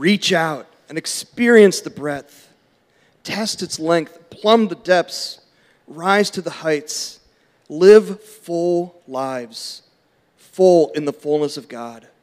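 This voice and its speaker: A man with a high pitch and ordinary pitch variation speaks at a very slow pace, his loudness swinging widely. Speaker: church member reading scripture. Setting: church.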